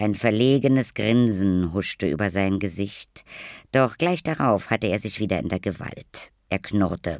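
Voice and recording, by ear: Pitch variation is ordinary. Someone reads aloud in a natural voice.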